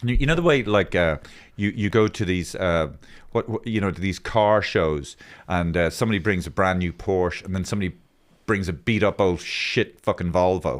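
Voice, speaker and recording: A man talks at a moderate pace in a very deep, low pitch. The recording is very clean, with a silent background. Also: ordinary pitch variation. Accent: Irish. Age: 60s. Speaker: podcast host and comedian. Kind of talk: casual chat. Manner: animated.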